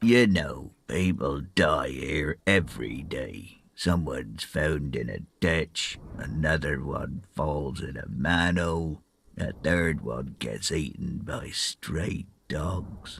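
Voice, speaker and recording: A man puts on a character voice with a very deep, low pitch. His pace is very slow. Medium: video game. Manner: blunt, gruff.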